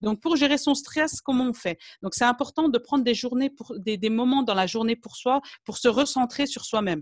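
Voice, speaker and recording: A woman with a high voice speaks at a moderate pace with hardly any pauses, ordinary pitch variation and big swings in loudness, in a dry, close sound with no echo. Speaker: naturopath. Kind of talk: lecture.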